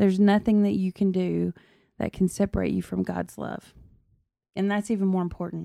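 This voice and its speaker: Against a silent background in a very clean recording with a dry, close sound with no echo, a woman with a Southern accent speaks at a moderate pace. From Tennessee, South Fulton. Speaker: podcast guest, host's wife. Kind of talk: casual chat.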